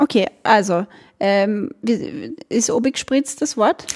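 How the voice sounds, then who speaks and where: A woman with an Austrian accent and a fairly high pitch, long and frequent pauses, in a dry, close sound with no echo. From Austria, Burgenland. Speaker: podcast host. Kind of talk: casual interview.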